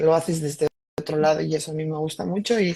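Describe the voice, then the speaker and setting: Speaking at a moderate pace, a woman with a very deep, low pitch has a dark, mellow, somewhat breathy tone and fairly even intonation. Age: 60s. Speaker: doctor and alternative therapist. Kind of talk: testimony.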